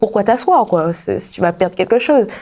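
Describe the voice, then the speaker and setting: This woman's voice sits at medium pitch. Its tone is dark and mellow. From Martinique. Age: 20s. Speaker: young musician. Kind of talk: TV interview. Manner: halting, many fillers.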